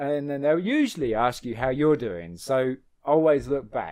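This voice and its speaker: A man with a southeastern English accent speaks in a fairly high voice. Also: quiet background. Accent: British English, southeastern. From England. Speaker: podcast host. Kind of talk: casual chat. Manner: jokey, laughs often.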